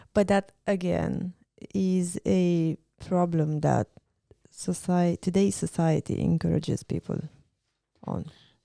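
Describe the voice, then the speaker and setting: A woman speaks at a very slow pace with long, frequent pauses, and the sound is dry and close with no echo. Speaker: podcast co-host. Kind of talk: casual chat.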